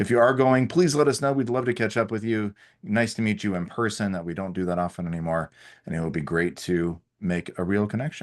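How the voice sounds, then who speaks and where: A man speaks at a fairly quick pace in a fairly low voice. His intonation is lively, and the background is quiet. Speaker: head of sales, webinar co-host. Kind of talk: webinar presentation. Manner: fast.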